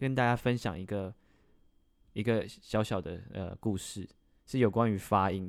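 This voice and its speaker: At a moderate pace with ordinary pitch variation, the voice comes through in a very clean recording with a silent background. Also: man. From Taiwan. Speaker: podcast co-host. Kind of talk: casual chat.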